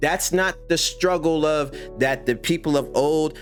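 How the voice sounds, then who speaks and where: Music plays in the background as a man speaks in a passionate tone. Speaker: gaming YouTuber. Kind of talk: casual monologue while gaming.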